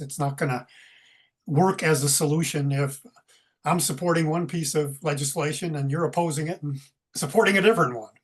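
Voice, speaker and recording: A man talks at a fairly quick clip in a fairly high, somewhat breathy voice. The background stays quiet. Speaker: retired environmental activist. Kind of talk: casual chat.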